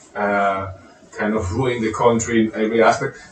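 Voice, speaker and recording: At a moderate pace, a man with a non-native accent speaks in a medium pitch. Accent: foreign. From Venezuela. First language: Spanish. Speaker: composer and guitarist. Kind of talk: casual chat. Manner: halting.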